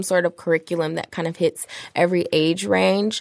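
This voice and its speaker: A woman with an ordinary speaking voice talks at a fairly low pitch with ordinary pitch variation, in a very clean recording with a silent background. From Detroit, Michigan. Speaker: video storyteller and entrepreneur. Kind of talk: casual interview chat.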